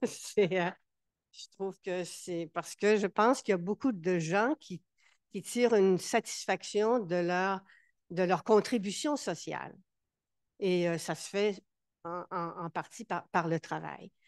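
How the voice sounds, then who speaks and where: A woman speaks at medium pitch and a very slow pace, with long, frequent pauses, ordinary pitch variation and big swings in loudness. The background is quiet, and the sound is dry and close with no echo. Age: 70s. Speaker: board member of a mental health organization. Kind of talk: casual conversation at a campaign launch. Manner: halting, many repetitions.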